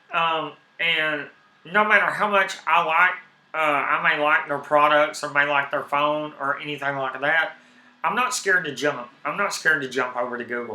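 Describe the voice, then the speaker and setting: Over noticeable background noise, a man speaks in a strong Southern US accent. His pitch is fairly high with ordinary variation, at a moderate pace. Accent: heavy Southern US. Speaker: tech and gaming streamer. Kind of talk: casual live stream talk. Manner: animated.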